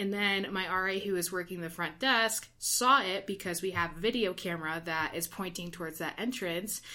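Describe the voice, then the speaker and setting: Hardly pausing at all, a woman in a normal speaking voice talks at a moderate pace with a medium pitch and ordinary pitch variation. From Ohio. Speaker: university residence hall director. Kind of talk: casual chat.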